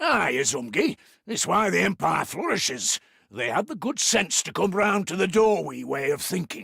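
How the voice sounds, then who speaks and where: A man puts on a raspy character voice, high in pitch, at a moderate pace. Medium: video game.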